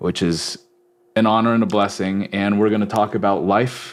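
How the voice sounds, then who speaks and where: Here is a man with an unremarkable speaking voice, fairly low in pitch and fairly even in intonation. The recording is very clean, with a silent background. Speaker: podcast host. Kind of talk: podcast interview.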